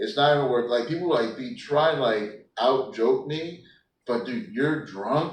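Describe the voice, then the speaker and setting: A man with a fairly high pitch speaks at a fairly slow pace, somewhat breathy. His intonation is lively, and audible room echo surrounds him. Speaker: stand-up comedian. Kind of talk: casual chat. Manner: mumbling.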